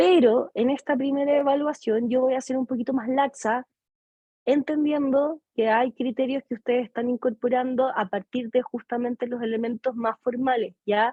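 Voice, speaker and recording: A woman speaks with a high pitch. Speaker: psychology lecturer. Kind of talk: lecture.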